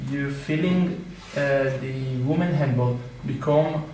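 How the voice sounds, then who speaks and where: A man speaks at a very slow pace. Noticeable background noise and audible room echo are present. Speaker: audience member. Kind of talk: question from audience. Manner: halting.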